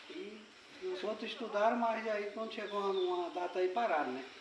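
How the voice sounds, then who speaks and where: A man with a high pitch talks with lively intonation. Noticeable background noise and audible room echo fill the recording. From Brazil, Acre (Xapuri). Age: 60s. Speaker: rubber tapper community leader. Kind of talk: interview. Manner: halting.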